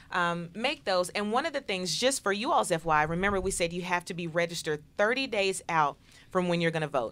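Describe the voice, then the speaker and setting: A woman speaks at a fairly quick pace with a medium pitch and lively intonation. The recording is very clean, with a silent background. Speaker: political talk show host. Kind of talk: casual chat. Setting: studio. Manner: animated.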